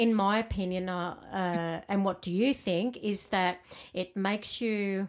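A woman with an Australian accent, on a very clean recording with a silent background. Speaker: podcast host. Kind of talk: interview.

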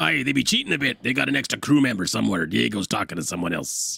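In a put-on character voice, a man rattles along at a very fast pace, raspy and very deep in pitch, with very wide pitch swings. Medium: actual play. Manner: blustering, slow-witted.

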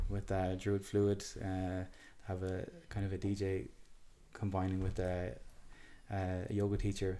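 A man with an Irish accent speaks at a fairly slow pace in a fairly low voice. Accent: Irish (Galway). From Ireland, Galway City. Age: 30s. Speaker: festival wellness area curator. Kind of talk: casual chat.

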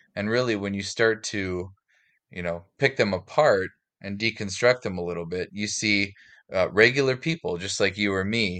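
A man with an Upper Midwest accent, fairly low in pitch, bright and sharp in tone, at a moderate pace with ordinary pitch variation, against a quiet background. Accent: Upper Midwest American. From North Dakota, Fargo. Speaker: educator and outdoorsman. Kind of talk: casual interview.

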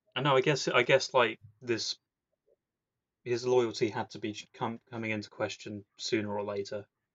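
A man with fairly even intonation, big swings in loudness, and long, frequent pauses. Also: medium pitch for a man, moderate pace. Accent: British. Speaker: podcast host. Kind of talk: casual chat.

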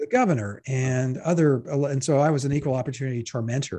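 A man's somewhat breathy, fairly high-pitched voice at a fairly quick pace. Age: 60s. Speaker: editorial cartoonist. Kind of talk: casual interview conversation.

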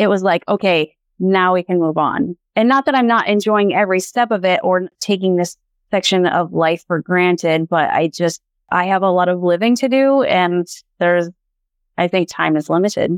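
A woman's ordinary speaking voice at medium pitch, with an American accent, ordinary pitch variation, a moderate pace and very even loudness, dry and close with no echo. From Montana. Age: 30s. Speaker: children's book author. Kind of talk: casual chat.

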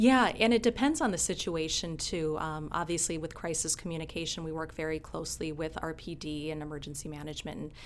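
A very fast woman's voice, very deep and low in pitch, with ordinary pitch variation and an Upper Midwest accent. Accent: Upper Midwest American. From Minnesota. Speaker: county communications officer, former TV news anchor. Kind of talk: casual interview chat.

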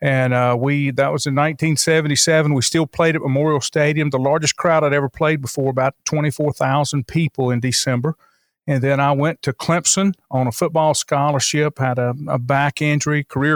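In a Southern US accent, the speaker talks at a fairly quick pace with fairly even intonation and very even loudness, on a very clean recording with a silent background and a dry, close sound with no echo. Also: man. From North Carolina, Lincoln County. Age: 60s. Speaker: radio station and newspaper owner. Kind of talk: casual interview.

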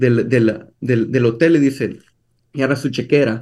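Here a man speaks with fairly even intonation. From El Salvador. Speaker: entrepreneur. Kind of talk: interview.

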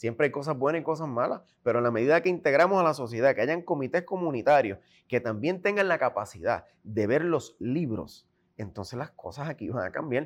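In an unremarkable speaking voice, a man with a fairly high pitch talks at a fairly quick pace with lively intonation against a quiet background. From Puerto Rico. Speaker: independent gubernatorial candidate. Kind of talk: political interview.

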